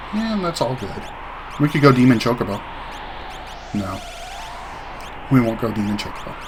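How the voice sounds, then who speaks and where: A man at medium pitch with long, frequent pauses, audible room echo and noticeable background noise. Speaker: gaming video creator. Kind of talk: let's play commentary. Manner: fast; casual.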